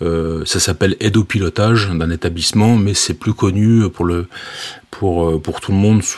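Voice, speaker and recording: This man has a fairly low pitch. His pitch varies in an ordinary way. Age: 40s. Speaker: railway safety manager. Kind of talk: interview. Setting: remote call. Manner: halting, many fillers.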